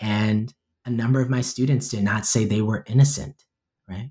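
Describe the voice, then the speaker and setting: Somewhat breathy and medium in pitch, a man with an American accent speaks at a moderate pace. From New York. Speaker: poet and professor. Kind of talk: interview.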